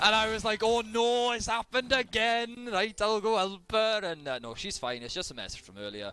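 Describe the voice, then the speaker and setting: In a Welsh accent, a man speaks in a raised, projected voice that is high-pitched with a bright, sharp tone, ordinary pitch variation and big swings in loudness, keeping a moderate pace with hardly any pauses. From Wales. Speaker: esports caster. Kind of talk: live commentary.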